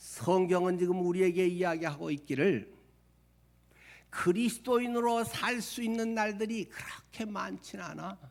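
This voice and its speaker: A man with a high pitch talks at a fairly slow pace, using ordinary pitch variation. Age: 60s. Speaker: pastor. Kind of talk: sermon.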